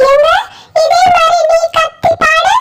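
A squeaky, cartoonish character voice at an extremely high pitch. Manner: kindly, patient.

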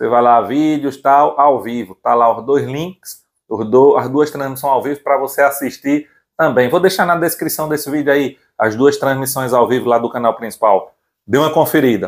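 An excited, animated man with a fairly high pitch, ordinary pitch variation and a moderate pace, set against a quiet background. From Brazil. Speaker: channel host and seller. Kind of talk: sales pitch. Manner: excited, animated, shouting prices and deals. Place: workshop. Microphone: lapel.

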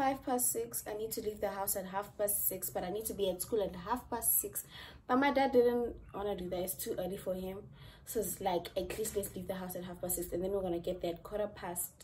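Vocal fry runs through a woman's voice, with ordinary pitch variation. Light background noise can be heard. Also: fairly quick pace. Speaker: student vlogger. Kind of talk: casual vlog chat. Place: home room. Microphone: phone near.

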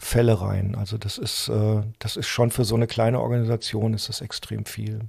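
A somewhat breathy man's voice at a moderate pace, fairly low in pitch, with monotone, flat intonation and hardly any pauses. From Germany, Saarland. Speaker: journalist and activist. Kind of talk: interview conversation.

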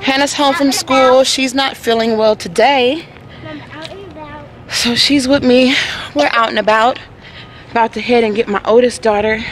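A woman's high-pitched voice at a moderate pace, with ordinary pitch variation, long, frequent pauses and light background noise. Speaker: family vlogger. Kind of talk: casual vlog chat. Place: street. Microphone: phone near.

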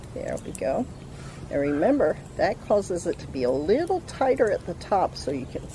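A woman, dry sound with no echo, light background noise. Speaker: craft instructor for children. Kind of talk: tutorial. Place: garden. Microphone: camera far.

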